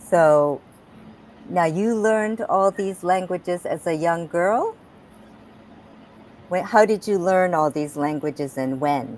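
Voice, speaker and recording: A woman with a Japanese accent speaks at a very slow pace with ordinary pitch variation and long, frequent pauses. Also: fairly low pitch for a woman. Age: 60s. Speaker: talk show host and health coach. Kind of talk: interview.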